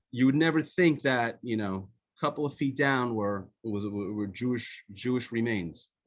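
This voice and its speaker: In an Israeli accent, a man with a medium pitch talks at a moderate pace with ordinary pitch variation. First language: Hebrew. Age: 50s. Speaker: author. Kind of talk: testimony. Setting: video call. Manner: halting.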